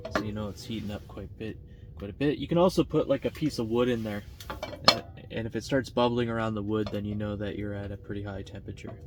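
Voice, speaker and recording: Over noticeable background noise, a man with a fairly low pitch and ordinary pitch variation speaks at a very fast pace. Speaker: outdoor vlogger. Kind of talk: casual vlog narration. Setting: outdoors.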